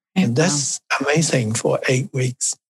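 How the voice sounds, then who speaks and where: A man with a Chinese accent speaks at a medium pitch in a somewhat breathy voice. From China. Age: 70s. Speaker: Tai Chi instructor and family physician. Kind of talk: casual interview.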